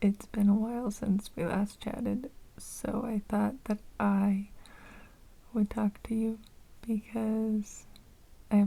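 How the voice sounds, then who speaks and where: A soft-spoken woman talks at a fairly slow pace in a medium-pitched, somewhat breathy voice. Her tone is dark and mellow, her intonation monotone and flat. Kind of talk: ASMR unscripted ramble, casual talk to camera.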